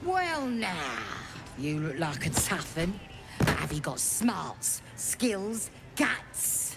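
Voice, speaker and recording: Amid loud background noise, a put-on character voice at a middle pitch moves at a very slow pace. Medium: video game. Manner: brash, crude.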